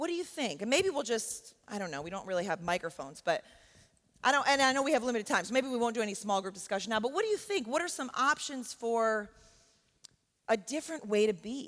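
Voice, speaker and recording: A woman with an American accent talks loudly at a very fast pace. Her fairly high pitch makes very wide swings. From New York. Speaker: professor. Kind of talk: workshop talk. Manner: conversational, with frequent fillers.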